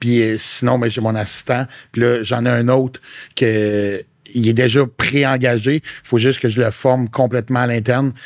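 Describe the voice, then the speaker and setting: A man talks in a monotone, flat intonation, his medium pitch holding at a moderate pace. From Quebec (Quebec City). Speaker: fitness coach and content creator. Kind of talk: podcast interview. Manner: casual, slangy.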